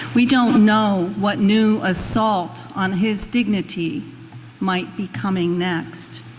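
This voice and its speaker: A woman's medium-pitched voice at a very slow pace, with ordinary pitch variation and noticeable background noise. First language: Spanish. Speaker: intern minister. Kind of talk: sermon.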